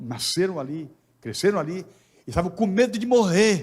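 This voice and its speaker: Speaking at a fairly slow pace, a man's voice carries vocal fry. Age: 60s. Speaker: pastor. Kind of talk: sermon.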